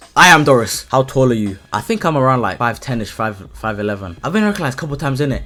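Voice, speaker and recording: Very fast and with hardly any pauses, a man with a London accent talks at a medium pitch, his bright, sharp, animated tone carried by lively intonation. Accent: London multicultural English. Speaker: content creator. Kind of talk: casual Q&A vlog.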